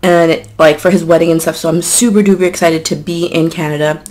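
A woman with an ordinary speaking voice talks at a fairly quick pace, using fairly low pitch and fairly even intonation. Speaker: mukbang vlogger. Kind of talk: casual vlog chat. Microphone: camera far.

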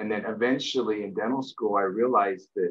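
Over a quiet background, a man talks at a fairly quick pace. His intonation stays monotone and flat. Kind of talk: interview answer. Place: home room. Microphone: webcam.

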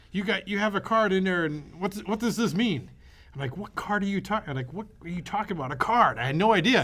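With a high pitch and lively intonation, a man talks at a fairly quick pace in a bright, sharp tone. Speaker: podcast co-host. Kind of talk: casual chat.

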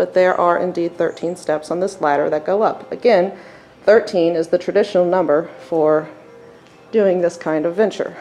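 A woman speaks at a moderate pace in a fairly low pitch, with fairly even intonation. Faint music plays in the background. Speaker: tour guide explorer. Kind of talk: casual narrated tour. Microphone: phone near.

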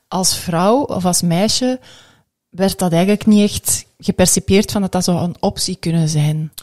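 Over a quiet background, a woman speaks at a fairly slow pace with a dark, mellow tone. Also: ordinary pitch variation. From Belgium. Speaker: podcast host. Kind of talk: interview. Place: studio. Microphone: studio mic.

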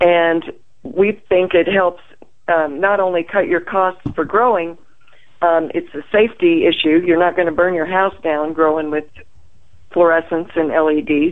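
A woman with a fairly low pitch uses a normal speaking voice, speaking at a fairly slow pace with fairly even intonation. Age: 60s. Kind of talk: interview.

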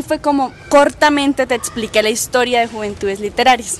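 A woman's high voice comes through noticeable background noise at a fairly quick pace, its pitch varying in an ordinary way. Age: young. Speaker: literary foundation director. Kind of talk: interview answer. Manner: cheerful, easygoing.

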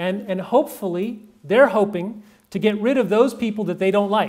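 At a moderate pace, a man with a high pitch talks with ordinary pitch variation against a quiet background. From Texas. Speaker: pro-life campaigner and speaker; speaker. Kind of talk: talk to a live audience. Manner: loud. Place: meeting room.

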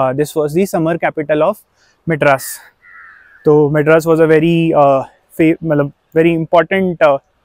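A man speaks in a dry sound with no echo against a quiet background. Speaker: travel vlogger. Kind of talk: casual vlog chat. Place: open country. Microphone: lapel.

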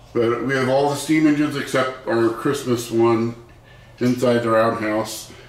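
A man speaks at a moderate pace in a flat, monotone delivery, with audible echo from the room. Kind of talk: casual vlog chat. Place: home room. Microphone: camera far.

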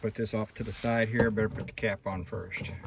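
A man speaks at a fairly low pitch with vocal fry. His pace is fairly quick, with little pitch movement.

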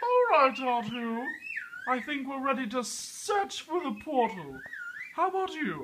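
A put-on character voice, pitched high and delivered at a fairly slow pace. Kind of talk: comic overacting. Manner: fussy, dramatic, complaining.

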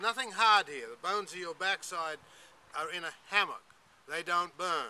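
A raised, projected voice with a bright, sharp tone and ordinary pitch variation. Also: man. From Australia. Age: 60s. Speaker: saddle maker and business owner. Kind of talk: sales pitch. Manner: casual. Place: open country.

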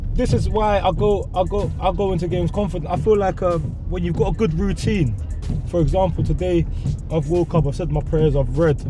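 With clear music in the background, a man speaks at a moderate pace with ordinary pitch variation in a dry sound with no echo. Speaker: show host. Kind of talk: casual interview answer. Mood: earnest, motivational. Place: car.

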